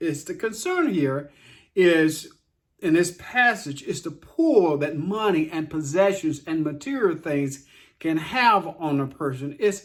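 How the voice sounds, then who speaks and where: On a very clean recording with a silent background, a man with a normal speaking voice talks at a fairly slow pace, fairly high in pitch with ordinary pitch variation. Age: 60s. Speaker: daily Bible devotional host. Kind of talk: devotional talk.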